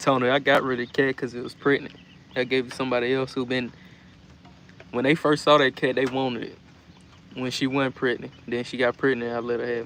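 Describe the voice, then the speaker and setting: Speaking with a Southern US accent, a man talks very fast at a medium pitch, yet with long, frequent pauses and monotone, flat intonation. Noticeable background noise runs under the recording. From US South. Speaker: livestreamer chicken keeper. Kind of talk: casual live stream chat. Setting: live stream.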